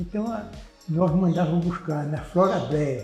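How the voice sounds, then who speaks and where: A man speaks at a high pitch and a fairly slow pace. His pitch varies in an ordinary way, and music plays in the background. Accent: Pernambuco. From Pernambuco, Brazil. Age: 80s+. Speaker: aquaculturist, aquarium hobbyist. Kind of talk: interview answer.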